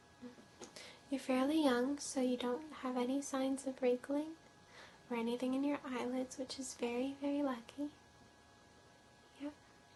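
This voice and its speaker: Over noticeable background noise, a woman with a high pitch talks in a monotone, flat intonation at a moderate pace, with long, frequent pauses. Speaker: ASMR artist. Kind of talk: role-play. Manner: soft-spoken.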